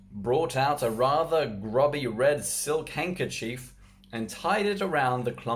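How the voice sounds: Lively intonation runs through this natural reading voice.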